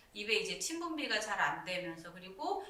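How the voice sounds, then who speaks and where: A woman at a moderate pace with lively intonation, amid audible room echo. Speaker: Korean medicine doctor. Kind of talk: live-stream consultation answer. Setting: YouTube live stream. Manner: conversational, explanatory.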